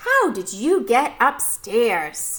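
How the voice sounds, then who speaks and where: A woman puts on a character voice, her fairly high pitch swinging very widely up and down. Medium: read story.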